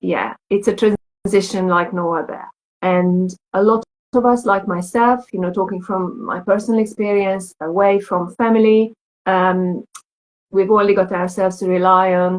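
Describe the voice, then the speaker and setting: The speaker has a Hungarian accent and keeps a moderate pace. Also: woman, medium pitch for a woman, fairly even intonation. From Hungary. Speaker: lactation consultant. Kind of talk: casual chat.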